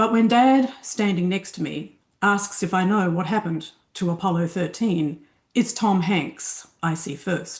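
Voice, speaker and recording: Against a quiet background, a woman with an Australian accent talks at a fairly slow pace in a medium pitch, sounding somewhat breathy. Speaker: fiction writer. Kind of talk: reading aloud.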